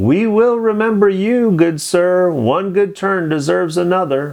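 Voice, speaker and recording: A man puts on a character voice at a high pitch. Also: moderate pace. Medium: read story.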